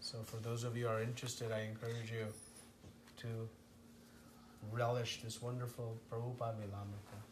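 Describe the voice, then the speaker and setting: Amid noticeable background noise and audible room echo, a man of medium pitch talks at a fairly quick pace in a monotone, flat way, with long, frequent pauses. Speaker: spiritual teacher. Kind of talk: lecture.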